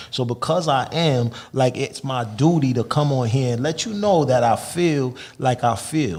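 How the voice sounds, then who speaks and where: A man's unremarkable speaking voice with ordinary pitch variation. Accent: American. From Massachusetts, Lawrence. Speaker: rapper. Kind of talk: casual interview chat. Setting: studio.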